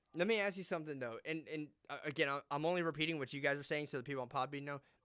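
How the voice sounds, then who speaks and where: A man with an American accent speaks at a very fast pace with a fairly high pitch. His tone is bright and sharp, with ordinary pitch variation. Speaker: podcast host. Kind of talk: casual chat.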